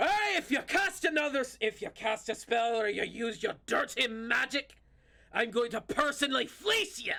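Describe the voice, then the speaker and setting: Shouting in a put-on character voice, a man hits an extremely high pitch. He keeps a moderate pace. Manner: yelling, threatening.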